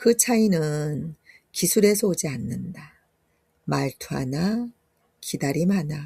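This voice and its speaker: The voice has a dark, mellow tone and is somewhat breathy. It moves at a very slow pace with long, frequent pauses. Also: woman, fairly low pitch for a woman. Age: 60s. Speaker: yoga instructor. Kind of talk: reading her own ebook aloud.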